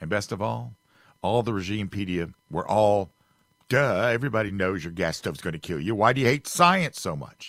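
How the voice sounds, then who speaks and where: A man talks in a plain, everyday voice at a fairly low pitch, with lively intonation and a fairly quick pace. The recording is very clean, with a silent background. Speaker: fill-in radio host. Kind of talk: radio host patter. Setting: radio studio.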